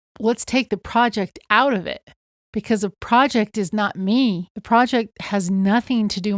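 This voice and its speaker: At a fairly slow pace and with ordinary pitch variation, the voice comes through a very clean recording with a silent background and a dry, close sound without echo. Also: woman. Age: 60s. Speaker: podcast co-host. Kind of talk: reflective conversation.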